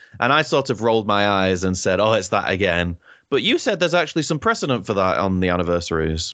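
A man's very fast, lively speech in a British accent, fairly low in pitch and very even in loudness. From Britain. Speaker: podcast co-host. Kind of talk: casual chat. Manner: animated, laughs often.

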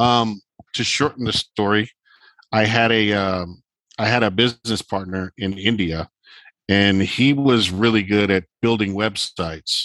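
A man with a normal speaking voice talks at fairly low pitch and a fairly slow pace. His intonation is fairly even, and the sound is dry and close with no echo. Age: 50s. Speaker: vintage clothing seller. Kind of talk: casual chat.

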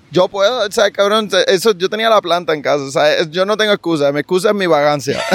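The speech runs at a very fast pace with ordinary pitch variation, a dry, close sound with no echo, and noticeable background noise. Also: man, high pitch for a man. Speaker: sports podcast host. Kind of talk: casual interview chat. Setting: outdoors at the beach.

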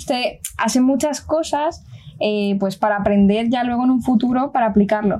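Speaking fairly slowly with a Peninsular Spanish accent, a woman uses a high-pitched voice with a dark, mellow tone and ordinary pitch variation. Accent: Spain Spanish, Colombian accent dropped. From Colombia, then Spain. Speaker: aerospace engineering student. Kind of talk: casual family chat.

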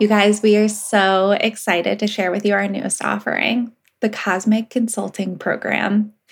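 Somewhat breathy, a woman talks at a moderate pace with hardly any pauses in a monotone, flat intonation. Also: medium pitch for a woman. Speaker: podcast co-host. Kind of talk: podcast interview.

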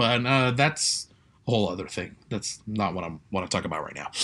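A man talks with vocal fry against a quiet background. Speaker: podcast host. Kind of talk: casual monologue. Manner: halting, many fillers.

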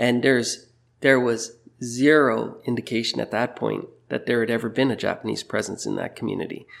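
In a western Canadian accent, a man at medium pitch talks at a moderate pace with monotone, flat intonation, captured in a very clean recording with a silent background. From Burnaby, British Columbia, Canada. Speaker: teacher. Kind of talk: interview.

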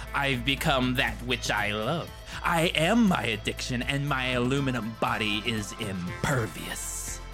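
Over loud music in the background, someone performs a put-on character voice at a fairly slow pace. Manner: dopey, mock-dramatic.

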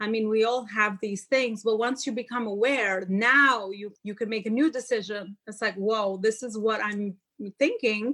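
With an Albanian accent, a woman talks at a moderate pace in a fairly high pitch, her bright, sharp tone carrying fairly even intonation. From Albania (Tirana). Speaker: motivational speaker and life coach. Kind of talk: podcast interview.

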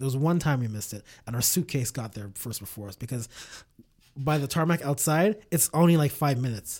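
A man's medium-pitched, somewhat breathy voice in a Montreal accent, with lively intonation, a fairly quick pace and big swings in loudness. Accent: Montreal English (Canadian). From Canada, Montreal. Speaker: podcaster. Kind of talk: casual chat. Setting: studio.

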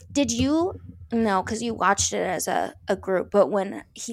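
In a very clean recording with a silent background, a woman of medium pitch speaks with vocal fry. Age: 30s. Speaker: podcast co-host. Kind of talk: casual chat. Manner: loud.

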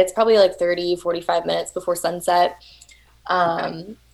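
With a Texan accent, a woman talks in a fairly even intonation. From Texas. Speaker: overlanding enthusiast. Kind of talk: casual chat.

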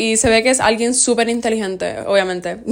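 Through noticeable background noise, a woman talks very fast at a fairly high pitch with fairly even intonation. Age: young. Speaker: podcast host. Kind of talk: casual chat.

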